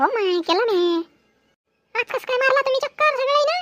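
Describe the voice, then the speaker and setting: A woman does a squeaky, cartoonish character voice at an extremely high pitch, with lively intonation, a moderate pace and a dry, close sound with no echo. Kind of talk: cartoon comedy skit. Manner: rustic, loud.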